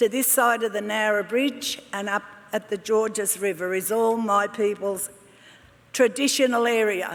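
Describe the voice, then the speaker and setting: Noticeable background noise runs behind a woman speaking at a moderate pace with a fairly high pitch. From Australia, La Perouse, Sydney. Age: 70s. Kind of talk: ceremonial speech. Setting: graduation ceremony hall with audience. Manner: halting.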